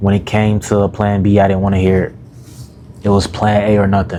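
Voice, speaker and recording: A man's fairly low, monotone voice with flat intonation at a moderate pace, over noticeable background noise. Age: 20s. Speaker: self-development YouTuber and coach. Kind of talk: casual vlog monologue. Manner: casual, filler-heavy.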